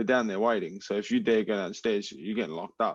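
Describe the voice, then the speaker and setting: In an Australian accent, a man speaks at a medium pitch against a quiet background. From Adelaide, South Australia. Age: 20s. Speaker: MMA fighter. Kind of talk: casual chat. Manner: animated.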